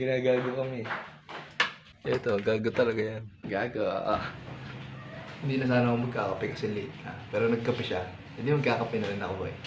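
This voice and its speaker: Amid audible room echo and noticeable background noise, a man talks very fast at a medium pitch with fairly even intonation and long, frequent pauses. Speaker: vlogger. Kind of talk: casual vlog chat. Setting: indoors at home, early morning. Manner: quiet, subdued speaking.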